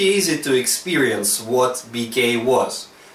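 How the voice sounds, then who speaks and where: In a room with audible echo and noticeable background noise, a man with a non-native accent speaks in a fairly high voice. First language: Russian. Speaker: retro computer show host. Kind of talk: video presentation.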